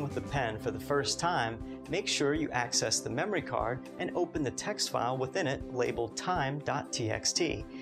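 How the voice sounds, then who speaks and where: Music plays clearly in the background. Over it, a man talks at a fairly quick pace. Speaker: presenter. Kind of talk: tutorial. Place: studio.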